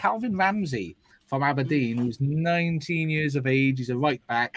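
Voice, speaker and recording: The speaker has a Welsh accent. The intonation is lively. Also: man. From Wales. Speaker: football podcast co-host. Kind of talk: casual chat.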